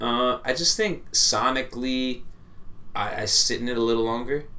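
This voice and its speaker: Noticeable background noise sits under a man with an American accent. He speaks at a medium pitch and a fairly slow pace. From Orange County, California. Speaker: musical artist. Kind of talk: casual podcast chat.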